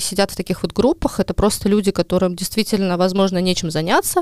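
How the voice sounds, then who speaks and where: A woman's very fast speech, dry and close with no echo. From Estonia, Ida-Viru county. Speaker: journalist. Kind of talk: casual chat.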